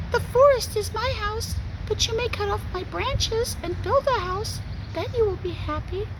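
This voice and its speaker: A squeaky, put-on character voice at a moderate pace, with loud background noise. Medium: read story. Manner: gentle, warm.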